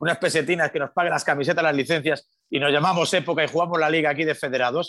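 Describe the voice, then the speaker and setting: The recording is very clean, its background silent. A man's bright, sharp tone shows ordinary pitch variation. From Galicia, Spain (Pontevedra). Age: 50s. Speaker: sports radio broadcaster. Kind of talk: casual interview chat.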